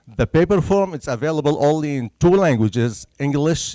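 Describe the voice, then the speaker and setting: A man with a Syrian accent and a fairly high pitch speaks at a moderate pace, the sound dry and close with no echo. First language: Arabic. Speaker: census bureau presenter. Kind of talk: public presentation. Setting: senior center talk with audience.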